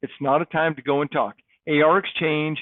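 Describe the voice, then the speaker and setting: A man with an American accent, fairly high in pitch, at a fairly quick pace. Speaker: school principal making announcements. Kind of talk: school PA announcements. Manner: upbeat, enthusiastic.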